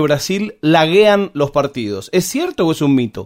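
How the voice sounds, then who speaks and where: Intonation is lively, while the delivery stays at a fairly slow pace. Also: man. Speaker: podcast host. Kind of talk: interview.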